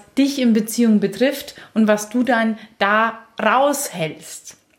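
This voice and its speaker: Fairly high in pitch and somewhat breathy, a woman's voice moves at a very slow pace. Her pitch variation is ordinary. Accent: Bavarian. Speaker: relationship podcast host. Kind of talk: casual chat.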